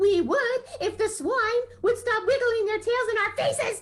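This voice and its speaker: Her pitch climbs extremely high. The woman is doing a put-on character voice. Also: moderate pace. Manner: bleating, indignant.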